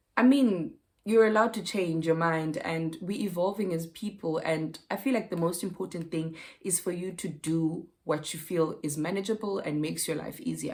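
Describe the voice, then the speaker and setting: This woman has a normal speaking voice with a fairly low pitch. She talks at a moderate pace with ordinary pitch variation. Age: 30s. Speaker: lifestyle vlogger. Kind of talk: casual vlog chat.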